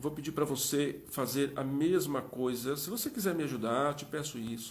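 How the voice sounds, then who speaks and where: A man at a moderate pace, ordinary pitch variation, and audible room echo. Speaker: live interview host. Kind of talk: live stream chat. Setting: Instagram live.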